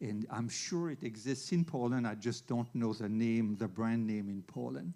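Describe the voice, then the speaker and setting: A man at medium pitch with a dark, mellow tone, ordinary pitch variation and a moderate pace. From Switzerland. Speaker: veterinary internist. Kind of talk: lecture.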